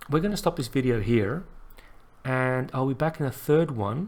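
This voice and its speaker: The voice is quiet. It moves at a moderate pace. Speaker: animation tutorial creator. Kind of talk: tutorial. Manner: quiet, unrehearsed; halting, thinking aloud.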